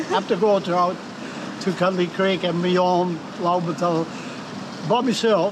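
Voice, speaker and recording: Amid noticeable background noise and audible room echo, a man with an Australian accent speaks fairly slowly at a high pitch with fairly even intonation. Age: 80s+. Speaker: retired amateur cyclist. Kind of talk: casual chat.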